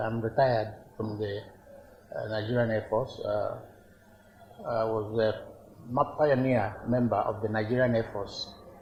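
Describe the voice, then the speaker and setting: Medium pitch and a moderate pace from a man, with noticeable background noise around him. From Nigeria, Igbo, Awka in Anambra. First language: Igbo. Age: 80s+. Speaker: traditional ruler. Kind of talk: interview. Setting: palace.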